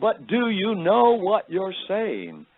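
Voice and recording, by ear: Putting on a character voice in a strong British accent, a man speaks at a high pitch. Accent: heavy British.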